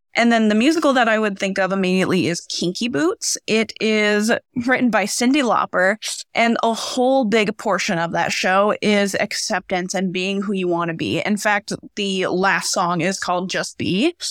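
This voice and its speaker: In an American accent and an ordinary speaking voice, a woman talks at a moderate pace in a medium pitch with ordinary pitch variation. The recording is very clean with a silent background, the sound dry and close with no echo. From rural central Nebraska. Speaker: theater teacher. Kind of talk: panel discussion.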